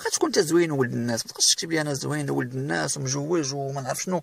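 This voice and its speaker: A man talking at a very fast pace, in a dry, close sound with no echo. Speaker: career advice YouTuber. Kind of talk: tutorial.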